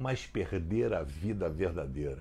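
A man talks at a fairly slow pace in a dark, mellow, somewhat breathy voice. His pitch swings very widely. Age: old. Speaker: pastor. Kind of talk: short devotional video message. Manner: conversational.

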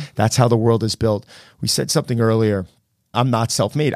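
A man with an ordinary speaking voice talks at a medium pitch with fairly even intonation on a very clean recording with a silent background. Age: 40s. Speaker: celebrity personal trainer and gym owner. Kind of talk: casual interview. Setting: studio.

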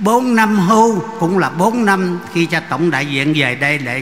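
Through audible room echo and noticeable background noise, a man speaks at a very slow pace with lively intonation. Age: 80s+. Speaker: priest. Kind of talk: speech at a Mass. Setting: church.

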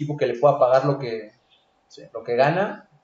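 A man talks at a fairly quick pace. His voice is fairly high and somewhat breathy. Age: 20s. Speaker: football pundit. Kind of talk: casual chat.

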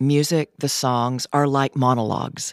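A woman with a Southern US accent at a fairly slow pace, dry, close sound with no echo, very clean recording and a silent background. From US South, Tennessee. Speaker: theatre professor. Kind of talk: interview.

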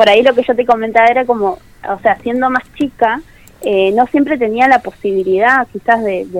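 A woman speaks in a plain, everyday voice. Her pace is moderate. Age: 20s. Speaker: tourism graduate. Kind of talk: radio interview. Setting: phone call.

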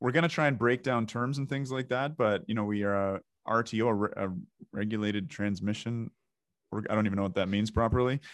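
With a Canadian accent and an unremarkable speaking voice, a man speaks at a fairly low pitch and fairly quick pace with ordinary pitch variation. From Ontario, Canada. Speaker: podcast host and doctor. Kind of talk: interview.

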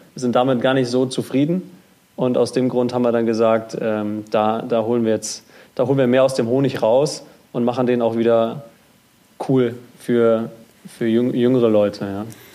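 A man with a dark, mellow tone and medium pitch talks in fairly even intonation, leaving long, frequent pauses. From North Rhine-Westphalia, Germany. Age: 20s. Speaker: startup founder. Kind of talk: interview. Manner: halting, many fillers and repetitions.

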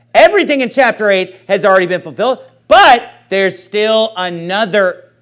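At a moderate pace, a man is speaking. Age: 30s. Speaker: pastor. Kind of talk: sermon.

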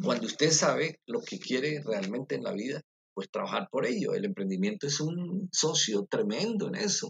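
A man's fairly high-pitched voice with vocal fry, very wide pitch swings and a moderate pace. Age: middle-aged. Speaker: university professor. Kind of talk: interview. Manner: halting.

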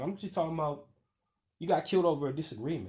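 Somewhat breathy, a man talks very fast in an animated tone. The background is quiet. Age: 30s. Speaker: podcast host. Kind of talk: monologue rant.

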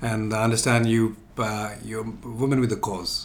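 Noticeable background noise is present throughout. The words come out fairly slowly. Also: man. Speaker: podcast host. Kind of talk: interview.

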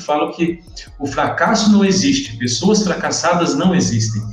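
A man's high-pitched voice at a fairly quick pace, lively in intonation, with music in the background and audible room echo. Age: 30s. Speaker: dentist changing careers. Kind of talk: casual interview on a live stream.

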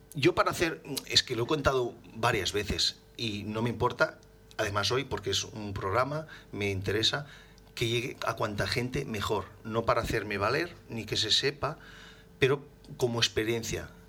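At a medium pitch with ordinary pitch variation, a man speaks in an unremarkable speaking voice. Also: moderate pace. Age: 40s. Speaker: motorcycle accident survivor. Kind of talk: interview.

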